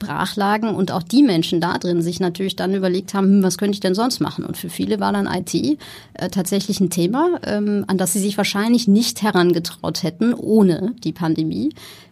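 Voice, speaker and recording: At a moderate pace and with hardly any pauses, a woman speaks at medium pitch with a dark, mellow tone, vocal fry and ordinary pitch variation. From Germany, Ruhr area. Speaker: entrepreneur, founder of a tech training school. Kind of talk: interview.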